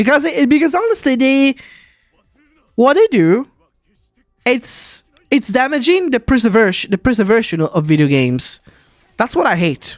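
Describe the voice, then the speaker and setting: The speaker has an Italian accent and a moderate pace. Long, frequent pauses break up the speech. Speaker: vtuber streamer. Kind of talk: casual live stream chat.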